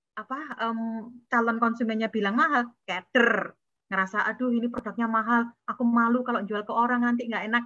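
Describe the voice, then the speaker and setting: This woman has an ordinary speaking voice with a fairly high pitch, ordinary pitch variation, and a fairly quick pace. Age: 40s. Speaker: entrepreneur. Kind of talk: webinar talk.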